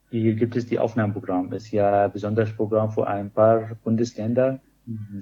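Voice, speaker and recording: A man with an Arabic accent at a fairly low pitch, monotone and flat, at a moderate pace. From Syria. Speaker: pharmacist. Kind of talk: interview.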